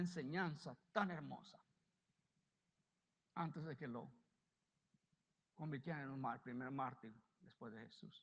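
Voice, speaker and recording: Ordinary pitch variation at a fairly slow pace. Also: man. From United States. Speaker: pastor. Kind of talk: sermon.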